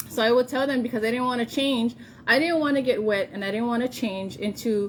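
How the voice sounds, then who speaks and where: With a Hawaiian accent, a woman talks at a fairly quick pace with lively intonation. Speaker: vlogger. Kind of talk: casual vlog monologue. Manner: animated.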